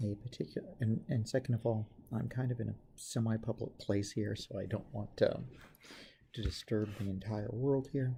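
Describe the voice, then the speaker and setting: The soft-spoken voice moves at a moderate pace. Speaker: chemistry teacher. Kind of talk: tutorial. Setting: semi-public place. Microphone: may be too quiet to pick up.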